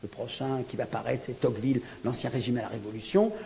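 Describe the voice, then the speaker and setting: A man talks at a moderate pace with lively intonation and a medium pitch. The room has audible echo, and background noise is noticeable. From France (born in Algeria). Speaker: professor and author. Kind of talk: book presentation lecture. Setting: lecture hall with audience. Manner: hesitant, many fillers.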